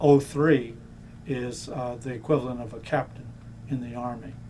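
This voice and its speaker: With audible room echo around him, a man with an American accent speaks at a moderate pace in a monotone, flat intonation. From Florida (Miami). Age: 60s. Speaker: navy veteran. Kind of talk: oral history interview. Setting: museum.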